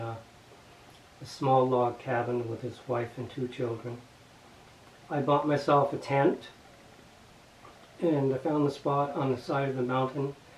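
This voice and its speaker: Over noticeable background noise, a man with a Canadian accent speaks at a moderate pace, medium in pitch and fairly even in intonation. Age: 60s. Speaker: retiree. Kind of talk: personal testimony.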